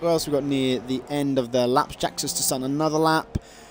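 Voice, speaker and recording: A man with a Welsh accent speaks at a fairly quick pace against noticeable background noise. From Wales. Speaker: esports race commentator. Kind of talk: live commentary. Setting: livestream, solo commentary. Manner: frequent fillers, halting; animated.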